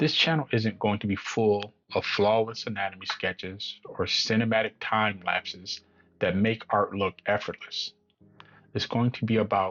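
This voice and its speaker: Against music in the background, a man speaks with a fairly low pitch and fairly even intonation. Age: 50s. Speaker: beginner artist vlogger. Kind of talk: channel introduction monologue.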